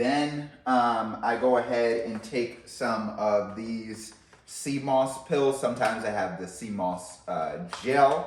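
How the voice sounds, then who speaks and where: Speech at a very slow pace with hardly any pauses and ordinary pitch variation comes through noticeable background noise and audible room echo. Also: man, medium pitch for a man. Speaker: health and wellness video creator. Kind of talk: casual tutorial. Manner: halting, many fillers and repeats.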